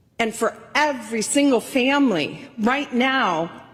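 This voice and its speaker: Over noticeable background noise, a woman speaks with fairly high pitch and lively intonation. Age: 60s. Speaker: state legislator, minority leader. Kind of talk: floor speech. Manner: formal.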